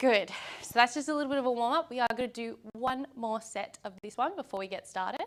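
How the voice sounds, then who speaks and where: At a moderate pace, a woman with a high pitch speaks in an energetic tone with ordinary pitch variation. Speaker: exercise physiologist, fitness class instructor. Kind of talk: exercise class instruction. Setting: filmed class with camera crew. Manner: loud; energetic, encouraging.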